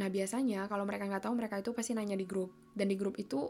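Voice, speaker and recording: Her voice sits in the middle of the female range, delivered in a flat, monotone way. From Indonesia. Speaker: podcast host, university student abroad. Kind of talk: casual monologue.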